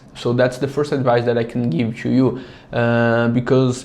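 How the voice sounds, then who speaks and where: A man speaks in a Brazilian accent. His pitch is medium. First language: Portuguese. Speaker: app founder. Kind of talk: tutorial. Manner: casual.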